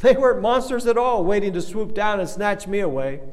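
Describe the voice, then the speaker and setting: A man is speaking in a space with audible room echo. Noticeable background noise runs under his voice. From Kenya. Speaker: pastor. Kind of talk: sermon. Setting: recorded remotely for online congregation.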